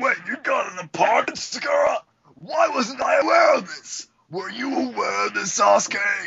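A man uses a raised, projected voice at a moderate pace. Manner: indignant, loud.

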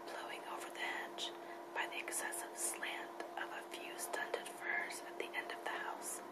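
A woman whispers while noticeable noise sounds in the background. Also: moderate pace. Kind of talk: novel reading for relaxation. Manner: whispered.

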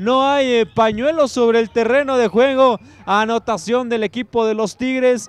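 A man speaks with an extremely high pitch at a fairly slow pace, his intonation fairly even. The sound is dry and close with no echo, and his loudness stays very even. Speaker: play-by-play commentator. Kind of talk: live sports commentary. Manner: clipped, breathless call of each play.

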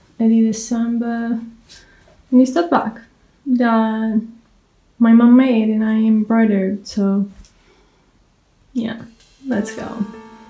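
A woman with a fairly high pitch speaks very slowly, somewhat breathily, in a dark, mellow tone with monotone, flat intonation. Long, frequent pauses break her speech, and the room echo is audible. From Portugal. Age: 20s. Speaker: book vlogger. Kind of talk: casual vlog talk to camera. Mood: cheerful, upbeat. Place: home room. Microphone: phone near.

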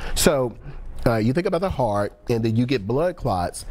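His pitch shows ordinary variation. The man moves along at a fairly quick pace. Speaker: pharmacist and call-in show host. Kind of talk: call-in TV advice show. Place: studio.

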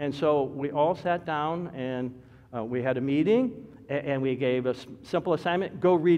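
With an American accent, a man is the one speaking. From Detroit, Michigan. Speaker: pastor. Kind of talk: sermon. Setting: church. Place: church.

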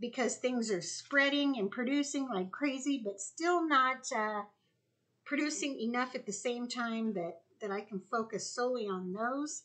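A woman speaks with a high pitch and a bright, sharp tone. Her intonation is lively. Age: 60s. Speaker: homesteader. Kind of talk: casual vlog tutorial. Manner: casual, conversational with fillers. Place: kitchen. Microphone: camera far.

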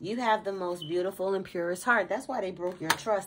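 Animated in tone, a woman talks at a medium pitch. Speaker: tarot reader. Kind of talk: tarot reading.

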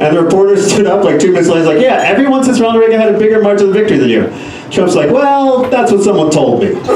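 A man talks at a very fast pace with a high pitch and lively intonation, his voice carrying audible room echo over light background noise. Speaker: stand-up comedian. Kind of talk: stand-up comedy set with audience laughter. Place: stage.

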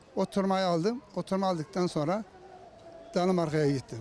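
A man speaks with a high pitch and ordinary pitch variation. Noticeable background noise sits behind him. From Turkey, Konya. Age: 70s. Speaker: sworn translator, former municipal councillor. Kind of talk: interview answer.

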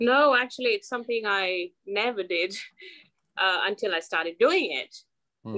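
A woman's pitch varies in an ordinary way, and the background is quiet. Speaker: podcast guest. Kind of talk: interview answer. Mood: reflective, smiling. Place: home room. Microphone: video call.

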